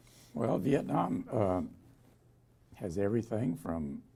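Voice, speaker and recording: This man's voice is fairly low, somewhat breathy and dark and mellow in tone. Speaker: Vietnam War veteran helicopter pilot. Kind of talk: oral history interview answer.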